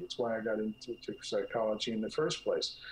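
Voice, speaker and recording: A man with a slight New Jersey accent, plus noticeable background noise. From US Northeast, North Jersey. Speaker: clinical psychologist, author. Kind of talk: interview. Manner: halting.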